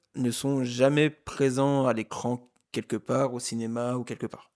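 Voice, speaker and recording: A man's medium-pitched voice at a fairly slow pace, fairly even in intonation, with a dry, close sound and no echo. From eastern France, Haute-Marne (Saint-Dizier). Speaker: film podcast co-host. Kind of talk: casual chat. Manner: hesitant, many fillers.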